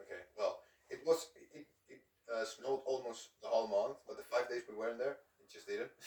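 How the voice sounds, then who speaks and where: A man with a Spanish accent talks at a fairly quick pace, his loudness swinging widely. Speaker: video host. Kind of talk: casual chat.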